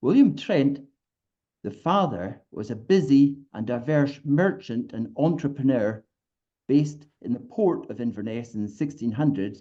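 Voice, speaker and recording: Speaking at a fairly slow pace with a Scottish accent, a man uses lively intonation and a fairly high pitch in a dark, mellow tone. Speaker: local historian. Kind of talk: presentation. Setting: video call.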